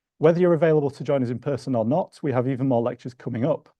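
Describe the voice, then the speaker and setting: A man speaks in a Yorkshire accent at a very fast pace. His pitch variation is ordinary. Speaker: museum research manager, lecture host. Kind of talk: event introduction. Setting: lecture hall with audience, streamed online.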